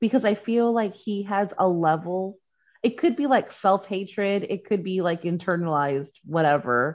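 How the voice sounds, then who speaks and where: A woman with an ordinary speaking voice, lively intonation, medium pitch and a moderate pace against a quiet background. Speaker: podcast guest.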